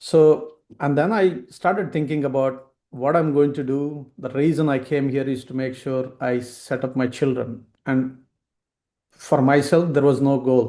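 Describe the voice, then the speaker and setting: A man talks at a fairly high pitch with fairly even intonation. His tone is dark and mellow. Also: fairly slow pace. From India. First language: Indian regional language. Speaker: financial advisor. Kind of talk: webinar talk.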